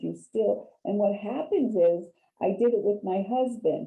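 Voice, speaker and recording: The voice is an unremarkable speaking voice with ordinary pitch variation. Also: woman. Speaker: real estate agent, HUD specialist presenter. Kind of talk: training webinar presentation.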